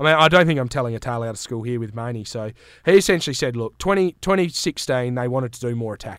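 Speaking at a very fast pace, a man with a medium-pitched voice uses lively intonation and big swings in loudness, all on a very clean recording with a silent background. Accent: Australian. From Western Australia, Great Southern region. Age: 30s. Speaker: sports podcaster. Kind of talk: casual chat. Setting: studio.

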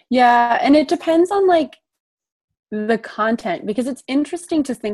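A woman talks at a moderate pace with a Midwestern American accent and lively intonation. The background is quiet. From US Midwest, southern Illinois. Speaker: graduate student. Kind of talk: casual chat.

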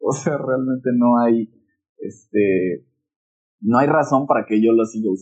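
Long pauses come often as a man talks. His overall pace is on the slow side. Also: medium pitch for a man, ordinary pitch variation. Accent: Mexican. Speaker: podcast co-host. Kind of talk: casual chat. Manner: loud; animated.

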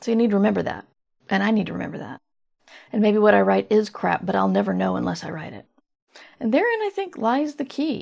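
A woman is speaking. She talks at a very fast pace. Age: 40s. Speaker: podcast host and fiction writer. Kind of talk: solo monologue, casual advice talk. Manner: conversational, meandering.

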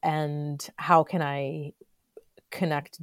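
A woman's very deep, low voice with an American accent, dry and close with no echo, in a very clean recording against a silent background. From Florida. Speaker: textile artist. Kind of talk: casual chat.

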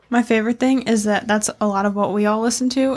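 Through noticeable background noise, a woman talks with a fairly high pitch and ordinary pitch variation. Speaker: podcast host. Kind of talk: casual banter, crude humor.

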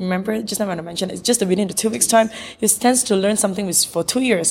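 A woman's voice with ordinary pitch variation is heard over noticeable background noise. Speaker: beauty pageant organizer. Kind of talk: interview. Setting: in person, seated next to host. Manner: halting, with many fillers.

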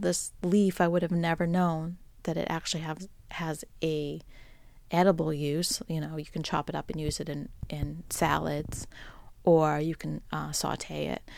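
In an American accent, a woman speaks at a fairly slow pace with a fairly low pitch, a warm tone and fairly even intonation, on a very clean recording with a silent background. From Boston, US. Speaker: podcast host. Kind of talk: solo musing monologue. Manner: conversational, warm, with filler words.

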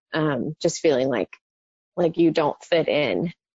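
The intonation stays fairly level. An American accent comes through. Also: woman. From Texas, Dallas-Fort Worth area. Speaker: mother sharing infertility story. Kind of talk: testimony.

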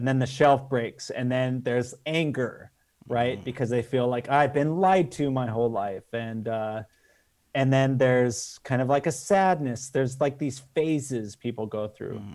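In a very clean recording with a silent background, a man with a General American accent speaks at a moderate pace and medium pitch with ordinary pitch variation, in an ordinary speaking voice. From Las Vegas, Nevada, US. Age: 40s. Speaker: film director. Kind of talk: casual interview chat.

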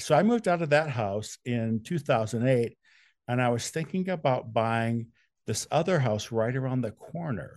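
An ordinary speaking voice: a man with an American accent, medium pitch, lively intonation and a moderate pace, against a quiet background. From Wisconsin. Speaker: true crime author. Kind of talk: interview.

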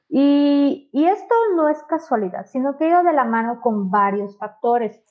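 Her voice is high, and it belongs to a woman. The pitch moves in very wide swings. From Mexico, Yucatán (Mérida). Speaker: real estate sales agent. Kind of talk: livestream sales presentation.

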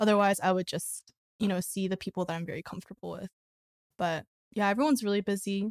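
A woman with an American accent talks at a very fast pace and a medium pitch. Her intonation is fairly even, and the sound is dry and close with no echo. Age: 20s. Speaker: church member and part-time barista. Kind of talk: casual chat.

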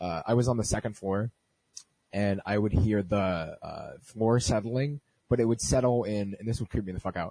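This is a normal speaking voice from a man with a fairly low pitch, talking at a moderate pace in a dry, close sound with no echo. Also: ordinary pitch variation. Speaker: podcast host. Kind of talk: casual chat.

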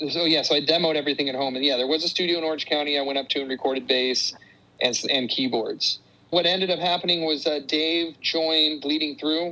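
A man talks very fast in a Californian accent, his pitch fairly high. His tone is bright and sharp, and his intonation stays fairly even. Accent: Californian American. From US West Coast, Fremont and Santa Cruz area, California. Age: 40s. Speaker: punk rock musician. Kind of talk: casual interview chat.

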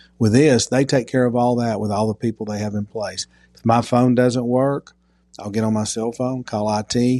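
A man's dark, mellow tone in an East Tennessee accent, with monotone, flat intonation, in a dry, close sound with no echo and a quiet background. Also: medium pitch for a man, moderate pace. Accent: East Tennessee Southern US. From Knoxville, Tennessee (North Knoxville). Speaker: insurance agency owner. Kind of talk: casual interview. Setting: outdoor backyard.

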